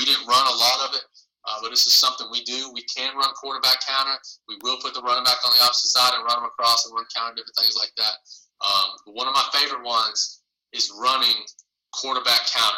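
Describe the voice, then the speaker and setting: Talking at a very fast pace, a man with a Southern US accent swings widely in loudness. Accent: Southern American. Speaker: football coach. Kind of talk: online coaching clinic presentation.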